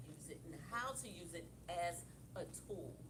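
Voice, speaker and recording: Noticeable background noise and audible room echo accompany a woman as she talks. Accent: American. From Philadelphia, US. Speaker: author and leadership coach. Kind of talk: interview at live author event. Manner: loud.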